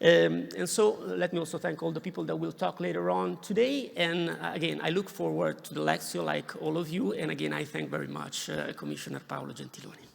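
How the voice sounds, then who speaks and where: A man talks at a fairly quick pace with hardly any pauses. Background noise is noticeable. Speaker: university professor. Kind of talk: formal welcome speech. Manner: halting, many fillers.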